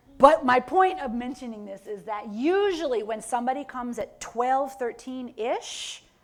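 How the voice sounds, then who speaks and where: Against noticeable background noise, a woman with an American accent talks in a high pitch, her tone animated and her intonation lively. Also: big swings in loudness. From New York. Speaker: professor. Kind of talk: lecture.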